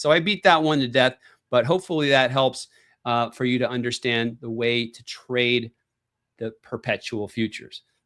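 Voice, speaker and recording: With a normal speaking voice, a man talks at a moderate pace in medium pitch with ordinary pitch variation and big swings in loudness, the sound dry and close with no echo in a very clean recording over a silent background. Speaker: crypto investing youtuber. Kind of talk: live stream tutorial. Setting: live stream.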